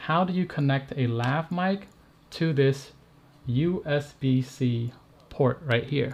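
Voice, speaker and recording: A man with a somewhat breathy voice talks with ordinary pitch variation. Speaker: tech reviewer and streamer. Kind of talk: live stream tutorial. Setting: live stream. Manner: animated.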